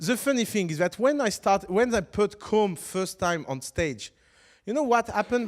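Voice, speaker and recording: On a very clean recording with a silent background, a man with a non-native accent speaks at a moderate pace, his high pitch moving with lively intonation. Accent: foreign. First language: French. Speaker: startup teacher. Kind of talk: lecture. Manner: halting.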